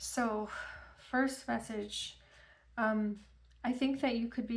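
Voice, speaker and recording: A woman's fairly high pitch with monotone, flat intonation and audible room echo. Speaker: tarot reader. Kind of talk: tarot reading. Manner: halting.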